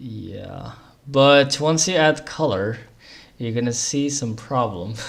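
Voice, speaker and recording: This man talks at a very slow pace and medium pitch, his loudness swinging widely, with ordinary pitch variation and audible room echo. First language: Moroccan Arabic. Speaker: programming livestreamer. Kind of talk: live coding stream. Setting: livestream. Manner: hesitant, many fillers.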